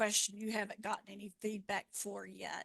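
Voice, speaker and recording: With a Southern accent, a woman speaks in a fairly high pitch and a monotone, flat intonation, the sound dry and close with no echo. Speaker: regulatory affairs expert, presenter. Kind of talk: webinar Q&A. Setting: online webinar.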